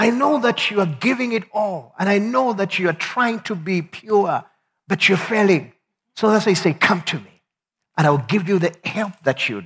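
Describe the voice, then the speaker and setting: In a Zambian accent, a man with a high pitch speaks at a moderate pace with lively intonation. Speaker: pastor. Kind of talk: sermon. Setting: church with congregation.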